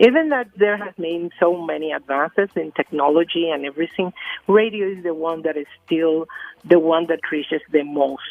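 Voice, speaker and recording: Over music in the background, a woman with a fairly low pitch speaks with big swings in loudness. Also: ordinary pitch variation, moderate pace. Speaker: UN agency communications official. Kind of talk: radio interview. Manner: halting, many fillers.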